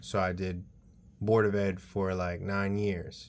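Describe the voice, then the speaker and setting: The voice, with a New York accent, holds a monotone, flat intonation. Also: man. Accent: New York City. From New York, the Bronx. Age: 30s. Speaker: vlogger, college student. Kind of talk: casual personal vlog monologue. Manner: halting, many um fillers.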